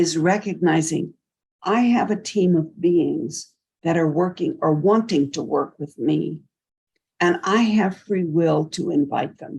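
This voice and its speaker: A woman with a medium pitch and a dark, mellow tone speaks at a very slow pace, sounding somewhat breathy. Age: 80s+. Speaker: mystic and sound healer. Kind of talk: interview.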